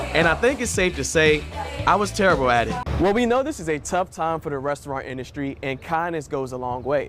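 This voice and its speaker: With music in the background, a man with a fairly high pitch and lively intonation speaks at a fairly quick pace. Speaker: TV reporter and digital host. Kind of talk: news reporter narration.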